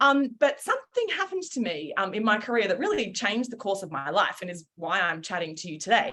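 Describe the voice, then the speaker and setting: At a very fast pace with hardly any pauses, a woman with an Australian accent swings widely in pitch and makes big jumps in loudness. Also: fairly high pitch for a woman. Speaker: founder and former journalist. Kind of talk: webinar talk. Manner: casual, many fillers.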